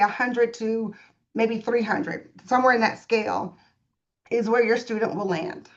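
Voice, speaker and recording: A woman with a fairly high voice talks at a moderate pace. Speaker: school staff presenter. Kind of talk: presentation to parents. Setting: live stream presentation. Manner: animated.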